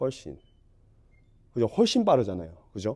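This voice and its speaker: A man with a dark, mellow tone. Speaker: golf instructor. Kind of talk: tutorial.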